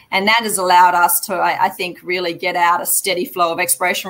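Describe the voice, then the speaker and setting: Speaking at a fairly quick pace, a woman with an Australian accent has a fairly low pitch. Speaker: mining company executive. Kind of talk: investor Q&A. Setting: live online investment summit.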